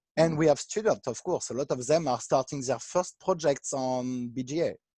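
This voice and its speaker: Fairly high-pitched male speech with a French accent, a dark, mellow tone, ordinary pitch variation and a moderate pace, in a dry, close sound with no echo. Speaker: artistic director of an online board game platform. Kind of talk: interview. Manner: halting.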